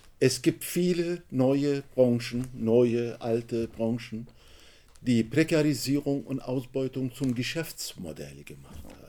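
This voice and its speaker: With a Turkish accent, a man speaks very slowly at a medium pitch, his tone dark and mellow and his pitch varying in an ordinary way. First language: Turkish (speaking German). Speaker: author and trade unionist. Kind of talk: book talk. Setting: bookshop event with audience.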